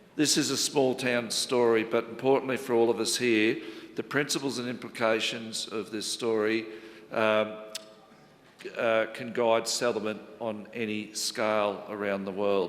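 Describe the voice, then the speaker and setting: A man with an Australian accent, medium pitch and monotone, flat intonation, at a fairly slow pace, amid noticeable background noise and audible room echo. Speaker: local government chief executive. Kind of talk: conference presentation. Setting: conference panel with audience.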